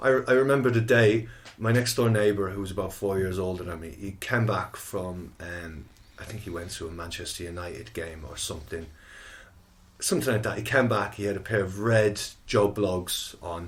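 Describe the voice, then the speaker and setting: With an Irish accent, a man speaks at a moderate pace in a fairly low, somewhat breathy voice, his loudness swinging widely amid audible room echo. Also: ordinary pitch variation. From Ireland, Athlone (Roscommon side). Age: 40s. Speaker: musician, band co-founder. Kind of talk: casual chat. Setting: studio. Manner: halting, many fillers.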